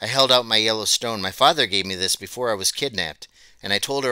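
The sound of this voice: Pitch varies in an ordinary way as someone reads in an unforced voice.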